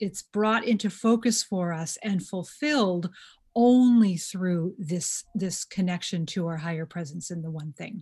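A woman's somewhat breathy voice with lively intonation at a fairly slow pace against a quiet background. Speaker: podcast host. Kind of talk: casual chat.

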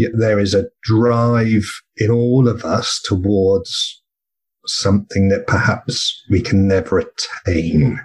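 Speaking very slowly with a southern English accent, a man uses a medium pitch, ordinary pitch variation, very even loudness and a somewhat breathy sound. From southern England (Bournemouth). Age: 50s. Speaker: burnout peer support co-host and speaker. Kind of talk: interview conversation.

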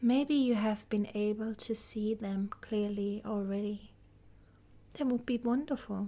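Speaking at a fairly slow pace, a woman has a fairly high, somewhat breathy voice with fairly even intonation. Her tone is calm and soothing, as well as dark and mellow. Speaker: podcast host and guide. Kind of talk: guided meditation. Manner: slow, calm, soothing; gentle, soft-spoken, with long pauses.

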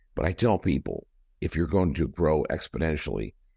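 With vocal fry and a very deep, low pitch, a man talks at a moderate pace with ordinary pitch variation over a quiet background. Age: 60s. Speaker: company CEO. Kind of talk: interview.

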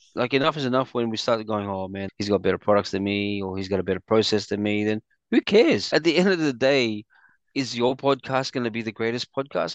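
Against a quiet background with a dry, close sound and no echo, a man with an Australian accent speaks very fast at medium pitch with ordinary pitch variation. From Australia (Sydney, migrated from the Philippines as a child). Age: 40s. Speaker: entrepreneur, community event organiser. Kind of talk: casual interview chat.

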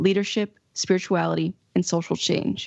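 A woman speaks at a fairly quick pace and a fairly low pitch. It is an ordinary speaking voice. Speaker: podcast host. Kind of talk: interview conversation.

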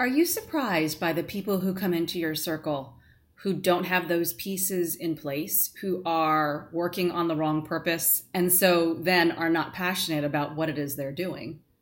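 A woman in an ordinary speaking voice talks at a moderate pace with hardly any pauses, her pitch fairly low and her intonation fairly even. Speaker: podcast host. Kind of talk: interview.

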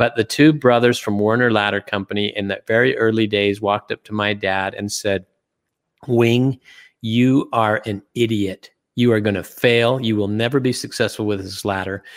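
Recorded very cleanly against a silent background, with a dry, close sound and no echo, a man with an American accent uses a normal speaking voice at a fairly low pitch, a moderate pace and fairly even intonation. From US, Utah. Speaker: retired business executive and investor. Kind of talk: interview.

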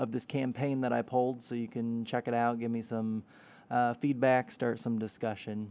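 The intonation is monotone and flat, with a dark, mellow tone. The background is quiet. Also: man. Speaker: podcast host and affiliate marketer. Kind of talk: solo podcast storytelling. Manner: hesitant, many fillers.

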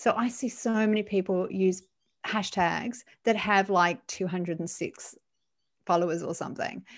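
A woman with an Australian accent is heard on a very clean recording with a silent background. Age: 40s. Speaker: LinkedIn profile writer and trainer. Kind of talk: interview.

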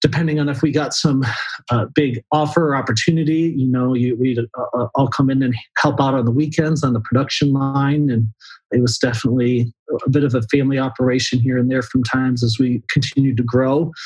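A man speaks with fairly even intonation in a somewhat breathy, medium-pitched voice. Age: 30s. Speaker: outdoor gear company staff. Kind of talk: casual interview. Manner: halting, many fillers.

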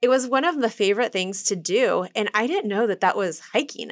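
With a Midwestern US accent, a woman speaks at a moderate pace in a fairly high voice with very wide pitch swings, in a very clean recording with a silent background. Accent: US Midwest. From Kansas City, Kansas. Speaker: urban hiking tour business owner. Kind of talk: interview.

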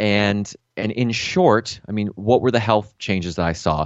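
In a normal speaking voice, a man with an American accent talks at a fairly slow pace, his fairly low pitch showing ordinary pitch variation. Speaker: health coach and podcaster. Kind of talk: interview conversation. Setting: video call. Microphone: good microphone.

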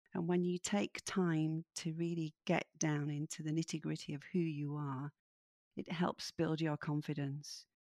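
In a very clean recording with a silent background and a dry, close sound with no echo, a woman with a Yorkshire accent speaks fairly slowly in a flat monotone, her very deep, low pitch carrying a dark, mellow tone. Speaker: midlife coach and author. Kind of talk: interview conversation.

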